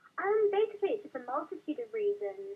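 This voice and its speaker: A woman talks at a very fast pace. She has a Welsh accent. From South Wales. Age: 20s. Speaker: caller. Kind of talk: radio phone-in. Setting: phone call. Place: studio.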